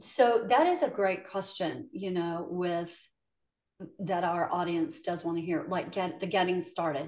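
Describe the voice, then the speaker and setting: A plain, everyday voice at a fairly slow pace, with ordinary pitch variation. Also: woman, medium pitch for a woman. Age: 50s. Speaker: podcast host. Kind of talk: interview conversation.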